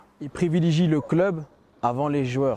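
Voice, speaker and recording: A dark, mellow tone with fairly even intonation. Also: man. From Ardennes, northeastern France. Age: 30s. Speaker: football ultra supporter. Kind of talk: interview.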